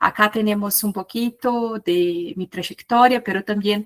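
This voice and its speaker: A woman with a Brazilian accent speaks at a medium pitch and a fairly slow pace with fairly even intonation, in a dry, close sound with no echo. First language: Portuguese (speaking Spanish). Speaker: researcher and conference speaker. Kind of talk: lecture.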